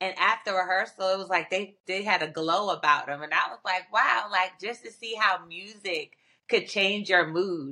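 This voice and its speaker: With an American accent, a woman speaks at medium pitch in a bright, sharp tone, her loudness swinging widely while her pitch varies in an ordinary way. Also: moderate pace. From Virginia. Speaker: singer. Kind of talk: casual interview.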